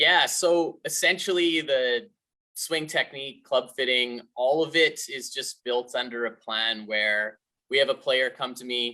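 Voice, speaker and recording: In a Canadian accent, a man with a medium-pitched voice and a bright, sharp tone speaks at a fairly slow pace. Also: ordinary pitch variation. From Canada, British Columbia (Revelstoke). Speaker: golf instructor. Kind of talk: webinar interview.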